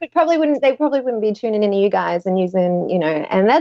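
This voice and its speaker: With an Australian accent, a woman is speaking. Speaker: Etsy seller. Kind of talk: casual chat. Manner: loud.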